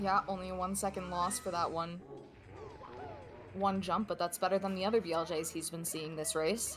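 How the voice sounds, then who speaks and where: With music in the background, a woman talks at a fairly quick pace with fairly even intonation and long, frequent pauses. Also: medium pitch for a woman. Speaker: esports co-commentator. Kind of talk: live commentary. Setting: live stream.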